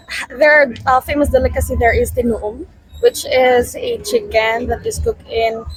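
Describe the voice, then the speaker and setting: This woman has a Filipino accent. She talks at a moderate pace. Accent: Filipino English, good. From Philippines, Iloilo (Lambunao). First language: Hiligaynon. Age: 20s. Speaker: university student and volunteer responder. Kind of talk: street interview. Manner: halting, many fillers.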